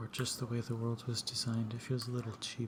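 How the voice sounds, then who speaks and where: The tone is relaxed. The speaker is soft-spoken. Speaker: ASMR gaming YouTuber. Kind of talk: casual gaming commentary to camera. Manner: soft-spoken, relaxed.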